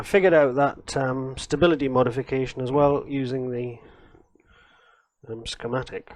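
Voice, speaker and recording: The pace is moderate. Long pauses come often. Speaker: retro computer hardware modder. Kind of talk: live stream hardware tutorial. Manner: thinking aloud, halting; trying to keep voice loud.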